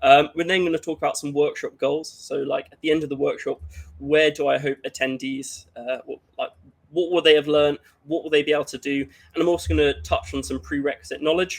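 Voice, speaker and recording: A man with a British accent at a fairly quick pace. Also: big swings in loudness. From UK. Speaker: cybersecurity workshop presenter. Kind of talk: conference workshop presentation. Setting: livestreamed online conference. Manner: hesitant, many fillers.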